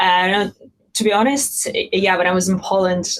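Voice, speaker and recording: The speaker talks at a fairly quick pace in a Russian accent. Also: woman. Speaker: panelist, tech company employee. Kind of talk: panel discussion.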